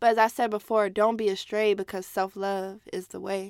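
Here is an ordinary speaking voice: a woman with an American accent, fairly high in pitch and fairly quick in pace. The recording is very clean, with a silent background. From US South, Alabama. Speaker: podcaster. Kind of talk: spoken word poetry reading.

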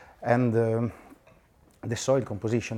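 At a fairly quick pace, a man speaks in a fairly low pitch with a dark, mellow tone. The recording is very clean, with a silent background. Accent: Italian. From Italy, Piedmont. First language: Italian. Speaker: winemaker. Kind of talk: casual chat. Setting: restaurant.

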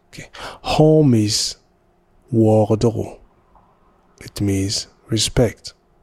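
The voice has a dark, mellow tone and ordinary pitch variation. It moves at a very slow pace, with long, frequent pauses. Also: man, medium pitch for a man. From Burkina Faso (Ouagadougou). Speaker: parent. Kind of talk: spoken word letter. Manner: reflective.

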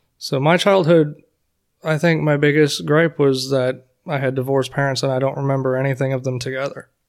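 A man has a normal speaking voice with an American accent and a fairly high pitch. He talks at a fairly quick pace with fairly even intonation. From US South (Florida). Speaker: firefighter. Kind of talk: podcast interview.

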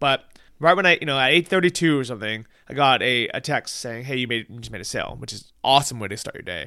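In a very clean recording with a silent background and a dry, close sound with no echo, a man with an American accent speaks at a very fast pace and medium pitch. His tone is bright and sharp, with vocal fry, lively intonation and big swings in loudness. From California. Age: 30s. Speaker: podcast host. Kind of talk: casual interview chat.

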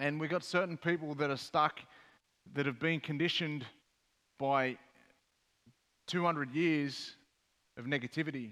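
An Australian accent marks this man's fairly high voice, which moves at a moderate pace with fairly even intonation on a very clean recording against a silent background. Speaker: mental health advocate and former rugby player. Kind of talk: panel discussion on stage. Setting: stage with audience.

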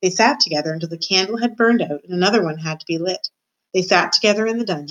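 A quiet background behind plain reading aloud, its pitch varying in an ordinary way

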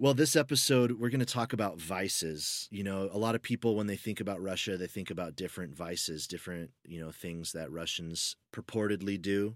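A man speaks in a plain, everyday voice with an American accent, fairly low in pitch, with ordinary pitch variation and a fairly quick pace, on a very clean recording with a silent background. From United States. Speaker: podcast co-host. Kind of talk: casual chat.

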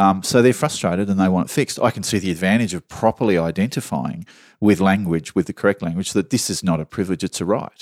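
A man talks at a very fast pace with an Australian accent, his pitch very deep and low. The recording is very clean, with a silent background. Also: ordinary pitch variation, dry, close sound with no echo. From Australia, southwestern Sydney. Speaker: journalist. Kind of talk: casual chat.

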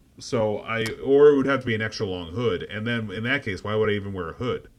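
A man speaks at medium pitch with ordinary pitch variation, in an ordinary speaking voice. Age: 40s. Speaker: podcast co-host. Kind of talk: casual chat.

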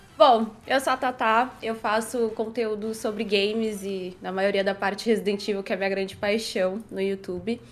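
This woman has a plain, everyday voice at a fairly high pitch. She keeps a moderate pace with fairly even intonation. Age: 20s. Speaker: gaming content creator. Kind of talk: casual chat.

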